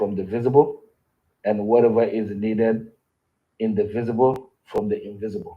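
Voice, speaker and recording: With a non-native accent, a man speaks fairly slowly at a medium pitch in a monotone, flat intonation. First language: not English. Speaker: cultural knowledge keeper. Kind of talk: interview.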